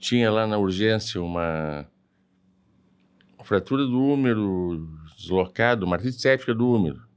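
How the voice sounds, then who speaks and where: With lively intonation and a fairly low pitch, a man talks at a moderate pace with long, frequent pauses on a very clean recording with a silent background. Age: 60s. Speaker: hip surgeon and university professor. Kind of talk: casual interview chat.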